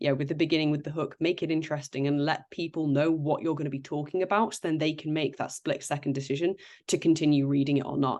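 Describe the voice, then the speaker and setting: A woman talks at a very fast pace. Her pitch is very deep and low. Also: quiet background. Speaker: recruitment creative lead and content creator. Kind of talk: webinar panel discussion. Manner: chatty.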